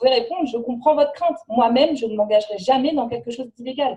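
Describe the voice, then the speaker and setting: A woman speaking at a very fast pace, high in pitch. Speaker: network marketing trainer. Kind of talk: training presentation.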